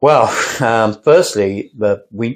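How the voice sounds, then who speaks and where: Ordinary pitch variation in a male voice set at a medium pitch. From England. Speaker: sculptor and storyteller. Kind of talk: podcast interview.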